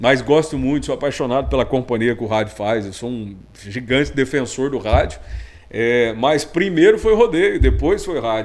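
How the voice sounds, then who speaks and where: A man's medium-pitched voice moves at a moderate pace with ordinary pitch variation while noticeable background noise runs underneath. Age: young. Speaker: rodeo announcer and radio broadcaster. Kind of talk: casual interview chat.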